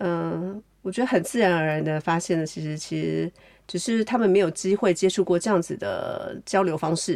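At a moderate pace, a woman speaks in an unremarkable speaking voice with a fairly low pitch and ordinary pitch variation, on a very clean recording with a silent background. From Taiwan. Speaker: novelist, artist and art educator. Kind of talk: interview conversation.

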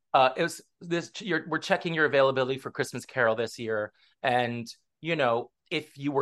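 A man with an American accent has a plain, everyday voice at a medium pitch. He speaks at a moderate pace with ordinary pitch variation against a quiet background. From US West Coast (Southern California). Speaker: stage actor. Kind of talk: casual interview.

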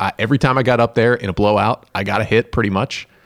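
An unremarkable speaking voice with ordinary pitch variation, dry and close with no echo, on a very clean recording with a silent background. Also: man. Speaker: sports broadcaster. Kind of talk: casual interview chat.

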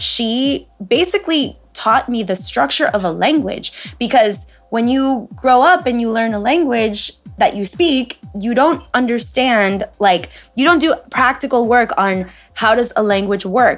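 With music in the background, a woman in a Spanish accent speaks at a fairly slow pace with fairly high pitch. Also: lively intonation. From United States. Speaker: podcast host. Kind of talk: casual chat, podcast interview.

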